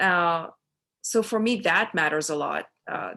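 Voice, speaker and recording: The woman's tone is bright and sharp. Her pitch sits fairly low and varies in an ordinary way. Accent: Pakistani. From Pakistan. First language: Urdu. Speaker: author. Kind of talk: interview conversation. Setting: video call. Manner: halting.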